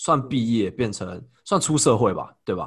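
This man has an unremarkable speaking voice, with ordinary pitch variation, and talks at a moderate pace. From Taiwan. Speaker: podcast host. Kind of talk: casual chat. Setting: video call.

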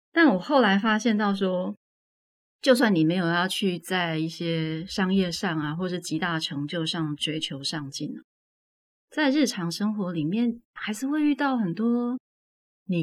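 A woman speaks at a fairly slow pace, somewhat breathy. Her pitch swings very widely. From Taiwan, Tainan. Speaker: author. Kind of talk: casual interview. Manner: clear, standard enunciation.

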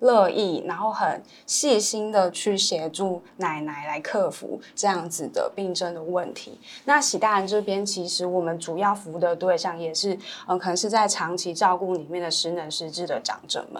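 This woman has a plain, everyday voice at medium pitch. She keeps a moderate pace with ordinary pitch variation. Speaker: elder care social worker. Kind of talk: casual interview chat.

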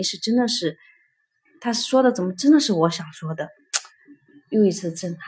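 A somewhat breathy woman's voice at medium pitch, fairly quick in pace, with lively intonation. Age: 30s. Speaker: piano teacher and art school owner. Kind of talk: interview about personal growth. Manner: halting, many fillers.

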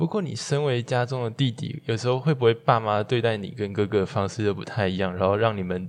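Speaking at a fairly quick pace with ordinary pitch variation, a man has a plain, everyday voice. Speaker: student podcast host. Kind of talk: interview.

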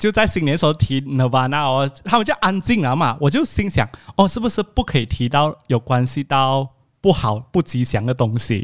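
Recorded dry and close with no echo, a man speaks at a fairly high pitch with lively intonation. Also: moderate pace. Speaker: podcast host. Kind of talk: casual chat. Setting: video call. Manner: animated.

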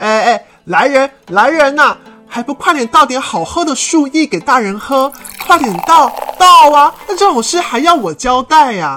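Over faint music in the background, a put-on character voice with a bright, sharp tone swings widely in pitch at a moderate pace with few pauses. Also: woman, high pitch for a woman.

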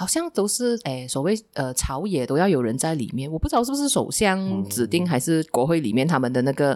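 Speaking at a fairly quick pace with hardly any pauses, a woman uses a very deep, low pitch and very wide pitch swings on a very clean recording with a silent background. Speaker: former political reporter. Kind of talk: casual interview chat. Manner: laughs often while talking.

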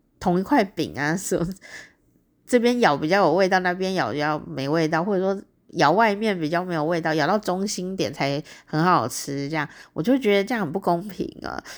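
A woman with a Taiwanese accent speaks in a fairly low pitch at a moderate pace, animated in tone with lively intonation, on a very clean recording with a silent background. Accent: Taiwanese Mandarin. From Taiwan, Taichung. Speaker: podcast host. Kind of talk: solo diary-style monologue. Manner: animated, frequent laughter and fillers.

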